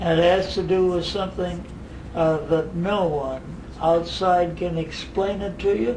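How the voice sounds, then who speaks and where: Speaking at a fairly slow pace, a man uses a high pitch and fairly even intonation. Noticeable background noise and audible room echo fill the recording. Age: 80s+. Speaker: spiritual teacher. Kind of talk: casual interview at home. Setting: private home.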